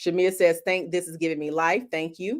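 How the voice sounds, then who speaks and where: This woman speaks with a fairly low pitch. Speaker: business coach. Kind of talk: live stream teaching. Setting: online live stream. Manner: animated.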